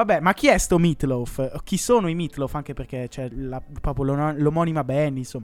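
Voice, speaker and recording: In a normal speaking voice, a man talks at a moderate pace and fairly high pitch, with ordinary pitch variation and hardly any pauses. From Como, northern Italy. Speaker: student radio co-host. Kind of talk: casual chat.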